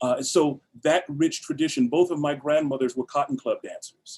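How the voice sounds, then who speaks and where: An ordinary speaking voice with an American accent. It moves at a fairly quick pace with fairly even intonation. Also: man. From Los Angeles, US West Coast. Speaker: actor and theatre founder. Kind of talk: interview.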